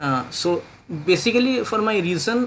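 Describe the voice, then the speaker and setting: Here is a man speaking. His intonation is lively. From India, West Bengal. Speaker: DevOps engineer job candidate. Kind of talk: job interview. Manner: halting, many fillers.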